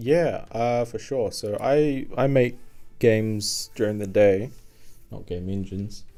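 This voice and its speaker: Speaking with a New Zealand accent, a man has a fairly low pitch, a dark, mellow tone, ordinary pitch variation and a fairly slow pace. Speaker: game programmer and streamer. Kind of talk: live coding stream, casual chat with chat readers. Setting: live stream, home desk at night. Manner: halting, many fillers.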